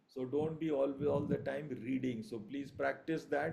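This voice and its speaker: A dark, mellow tone carries at a moderate pace with fairly even intonation and audible room echo. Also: man. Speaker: surgery lecturer. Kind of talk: online revision lecture. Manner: hesitant with fillers.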